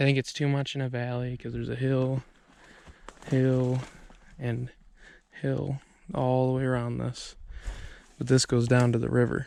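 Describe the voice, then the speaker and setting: Quiet and monotone, a man speaks at a medium pitch with flat intonation. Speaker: bear hunter and outdoors vlogger. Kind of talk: outdoor vlog tutorial. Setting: outdoors in the forest. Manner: quiet, hushed in the woods.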